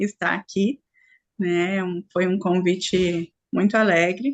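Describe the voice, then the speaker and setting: A woman speaks with a strong gaúcho accent at a very slow pace. Her intonation stays fairly even. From Rio Grande do Sul, Brazil. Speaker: spiritual group facilitator. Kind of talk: online group talk.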